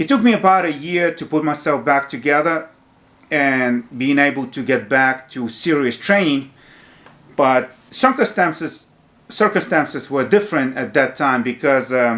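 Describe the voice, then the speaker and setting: With a Ukrainian accent, a man speaks at a moderate pace with a fairly high pitch and ordinary pitch variation. The recording is very clean, with a silent background. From Ukraine. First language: Ukrainian or Russian. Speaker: fitness youtuber. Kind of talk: casual monologue.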